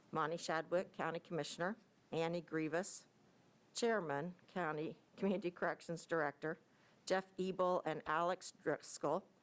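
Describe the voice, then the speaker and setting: At a moderate pace, a woman talks with a fairly low pitch, fairly even intonation and very even loudness. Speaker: community corrections director. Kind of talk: reading aloud. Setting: public meeting. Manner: halting.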